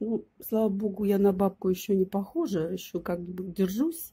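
A woman speaks very slowly at a medium pitch, her voice somewhat breathy. Her tone is dark and mellow. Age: 50s. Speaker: video blogger. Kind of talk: casual vlog chat.

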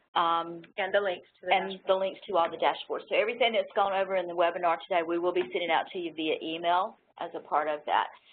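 With light background noise behind her, a woman talks at a very fast pace with hardly any pauses and fairly even intonation. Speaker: technical assistant and co-presenter; presenter. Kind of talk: webinar instructions. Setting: online webinar. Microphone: video call.

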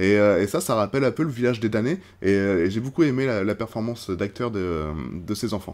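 He goes along at a fairly quick pace. The voice belongs to a man. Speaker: film reviewer / YouTuber; film reviewer, YouTuber. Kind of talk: casual film review monologue. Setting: outdoors. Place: home room.

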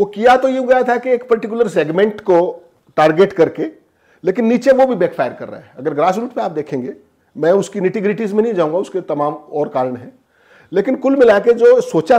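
A man's high, dark and mellow voice with very wide pitch swings and big swings in loudness, over a quiet background. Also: moderate pace. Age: 40s. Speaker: senior journalist. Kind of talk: political interview. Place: home room. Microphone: lapel.

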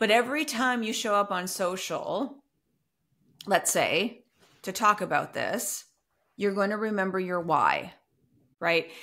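A woman talks at a fairly slow pace with ordinary pitch variation. She leaves long, frequent pauses against a quiet background. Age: 40s. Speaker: podcast host and business coach. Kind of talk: casual interview chat. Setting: remote call. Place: home room.

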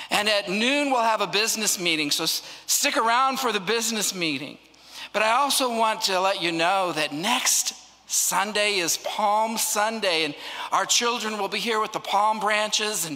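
A man speaks in a raised, projected voice with a bright, sharp tone. His pace is moderate and his pitch varies in an ordinary way. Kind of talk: welcome and announcements. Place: church. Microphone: handheld.

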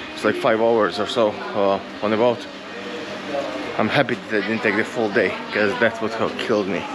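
A man talks at a moderate pace while loud background noise fills the recording. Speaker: travel vlogger. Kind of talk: casual vlog chat. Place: street. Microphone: phone near.

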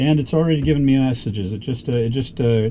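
A man speaks in a dark, mellow tone. His pace is moderate, with ordinary pitch variation.

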